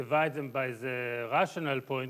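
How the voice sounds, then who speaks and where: A man is speaking. He has an Israeli accent. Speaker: mathematics professor. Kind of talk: lecture. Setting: conference talk with audience. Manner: halting, many fillers.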